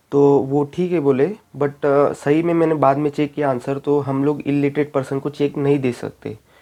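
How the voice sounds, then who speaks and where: With a Marathi accent, a man talks at a moderate pace with hardly any pauses, using a fairly high pitch and monotone, flat intonation. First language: Marathi (speaking Hindi). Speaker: YouTuber, bank exam aspirant. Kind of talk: casual vlog talk. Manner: halting, many fillers.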